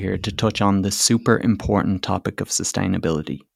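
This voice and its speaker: Speaking at a very fast pace, a man talks at a fairly low pitch. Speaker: podcast co-host. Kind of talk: podcast commentary.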